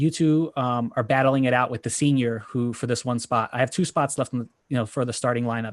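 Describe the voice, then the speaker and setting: Here a man has a plain, everyday voice at medium pitch, talking at a fairly quick pace. The sound is dry and close with no echo, against a quiet background. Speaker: board game content creator. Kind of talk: panel discussion, personal story.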